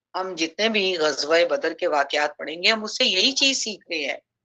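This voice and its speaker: A woman's bright, sharp voice at a medium pitch, with lively intonation. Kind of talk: Islamic lecture / sermon (bayan) on early Islamic history. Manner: reflective, advisory, addressing women and young people.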